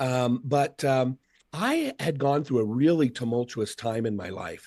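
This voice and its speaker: A man with an American accent in an ordinary speaking voice, medium in pitch, fairly slow, with ordinary pitch variation. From Seattle, US Pacific Northwest. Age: 50s. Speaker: motivational speaker. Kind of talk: casual chat.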